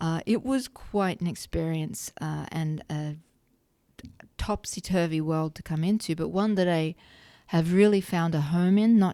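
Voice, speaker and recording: Heard on a very clean recording with a silent background, the voice has a dark, mellow tone and an Australian accent. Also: woman. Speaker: gun rights advocate. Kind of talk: podcast interview.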